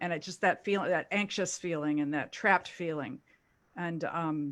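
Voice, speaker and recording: A woman with an American accent, an ordinary speaking voice, fairly low pitch, ordinary pitch variation and a moderate pace, on a very clean recording with a silent background. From US South, Louisville, Kentucky. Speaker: actor. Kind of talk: panel discussion.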